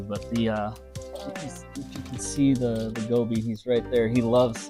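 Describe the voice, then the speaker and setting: Music plays in the background as a man with an American accent speaks at a fairly slow pace and medium pitch. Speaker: fish keeper. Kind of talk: casual tour talk.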